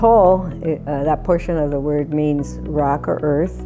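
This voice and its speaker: Fairly slow speech from a woman, with music in the background. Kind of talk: interview answer.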